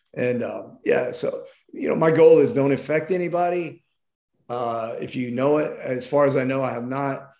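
A man at a moderate pace, with audible room echo. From Tennessee. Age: 50s. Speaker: travel TV show host. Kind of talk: casual chat.

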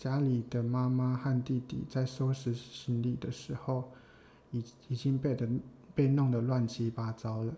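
Slow-paced and somewhat breathy, a man speaks at a medium pitch in a dark, mellow tone with monotone, flat intonation. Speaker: podcast co-host. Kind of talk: casual chat between a couple.

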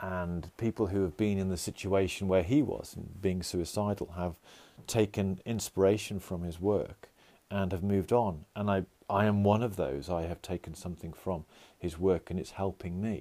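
A man's dark, mellow voice at a very deep, low pitch, with fairly even intonation, on a very clean recording with a silent background. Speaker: podcast host. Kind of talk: solo personal podcast monologue. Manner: fast talker; halting, with many filler words.

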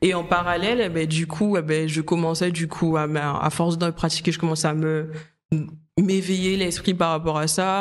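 This voice moves at a fairly slow pace in a very clean recording with a silent background. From Guadeloupe. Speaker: makeup artist. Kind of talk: casual interview chat.

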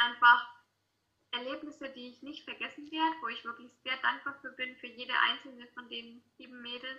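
Intonation stays monotone and flat at a moderate pace. The loudness shows big swings. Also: woman, high pitch for a woman. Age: 20s. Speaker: student and model. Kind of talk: casual interview. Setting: video call.

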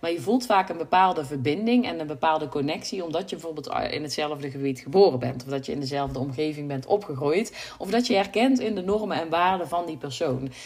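A woman's very deep, low voice with lively intonation, a fairly quick pace and hardly any pauses, over noticeable background noise. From Brabant, Netherlands. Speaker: website designer and podcast host. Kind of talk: solo podcast monologue. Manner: hesitant, many filler sounds.

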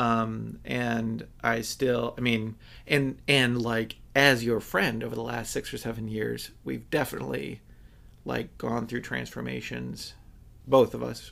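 A man speaks in a US Midwestern accent. His pace is fairly slow. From Michigan, US. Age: 30s. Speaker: podcast host. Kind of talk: sponsor read; casual interview.

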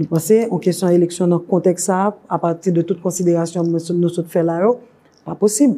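Intonation stays fairly even in this dark, mellow voice. Delivery is fairly quick. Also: woman, fairly low pitch for a woman. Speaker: women's rights organization director. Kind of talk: interview. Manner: halting, frequent fillers.

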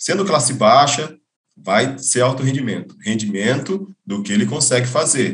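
A man's normal speaking voice, medium in pitch, with lively intonation and a fairly slow pace. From interior of São Paulo state, Brazil. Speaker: swimming coach. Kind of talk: casual interview.

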